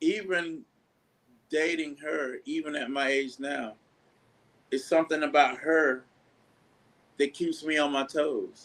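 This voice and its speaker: With long, frequent pauses, a man talks at a fairly slow pace in a fairly high pitch, keeping his intonation fairly even. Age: 60s. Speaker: bass player. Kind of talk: interview.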